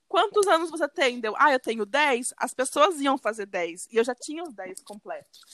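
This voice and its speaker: A high-pitched woman speaks with hardly any pauses, her pitch swinging very widely. Her loudness shifts a lot, and the sound is dry and close with no echo. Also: moderate pace. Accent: southern Brazilian. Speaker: podcast co-host. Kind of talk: casual chat.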